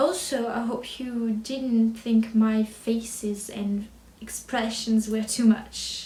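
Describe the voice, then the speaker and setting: With a French accent, a woman speaks very slowly at a fairly high pitch in a monotone, flat intonation, over noticeable background noise. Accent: French accent, mild. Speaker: book vlogger. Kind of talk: casual vlog chat. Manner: halting, with fillers and restarts.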